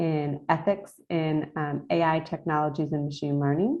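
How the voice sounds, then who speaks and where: In an American accent, a woman speaks with a dark, mellow tone at a fairly low pitch and a monotone, flat intonation against a quiet background. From United States. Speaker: university lecturer. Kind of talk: presentation to students. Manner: casual, hesitant with fillers.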